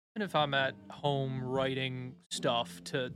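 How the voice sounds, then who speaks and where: Over music in the background, a man speaks with monotone, flat intonation. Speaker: bassist in a metal band. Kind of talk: casual chat, interview.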